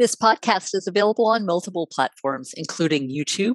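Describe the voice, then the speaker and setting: In a plain, everyday voice, a woman of medium pitch talks at a moderate pace with lively intonation, the sound dry and close with no echo. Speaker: podcast host. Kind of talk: interview, casual conversation.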